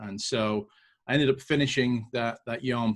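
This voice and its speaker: This man has a British accent and a medium pitch. His pitch varies in an ordinary way. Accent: British accent, noticeable to Americans. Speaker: entrepreneur and military veteran. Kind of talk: podcast interview. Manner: casual with frequent fillers and repetitions.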